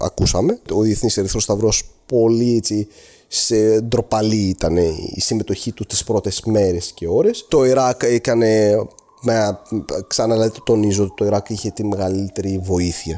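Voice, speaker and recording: A man's fairly low, dark, mellow voice with an Arabic accent at a fairly slow pace, on a very clean recording with a silent background. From Syria, Aleppo. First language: Arabic (speaking Greek). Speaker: earthquake eyewitness. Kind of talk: testimony. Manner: halting.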